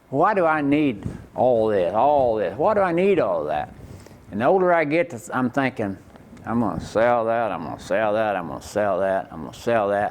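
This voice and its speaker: A man at medium pitch and moderate pace with an Oklahoma accent, very wide pitch swings, noticeable background noise. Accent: Oklahoma rural Southern US. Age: 60s. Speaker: rodeo performer. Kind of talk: interview.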